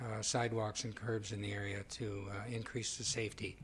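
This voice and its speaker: Somewhat breathy, a man speaks at a moderate pace in a monotone, flat intonation. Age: 70s. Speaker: resident at public participation. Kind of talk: public comment.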